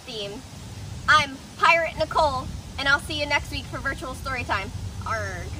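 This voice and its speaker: A woman speaks at a moderate pace in a dry sound with no echo. Noticeable background noise runs underneath. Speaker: children's story time host. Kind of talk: children's story reading. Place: garden. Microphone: camera far.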